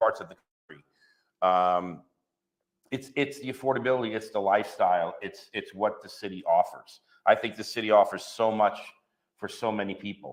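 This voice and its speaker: Speaking in a New York accent at a moderate pace, the voice shows ordinary pitch variation, big swings in loudness, and long, frequent pauses. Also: man, fairly low pitch for a man. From New York, Long Island. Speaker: real estate agent. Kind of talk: interview. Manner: hesitant, many fillers and repeats.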